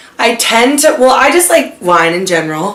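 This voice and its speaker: Audible room echo and noticeable background noise surround the speaker. A woman talks at a fairly slow pace. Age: 20s. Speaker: vlogger, kindergarten teacher. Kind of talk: casual chat.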